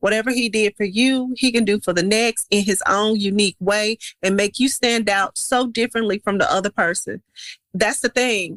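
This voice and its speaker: With a Memphis accent, a woman speaks at a moderate pace in an animated tone and fairly high pitch, her loudness very even in a dry, close sound with no echo. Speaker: cosmetics entrepreneur. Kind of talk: casual chat.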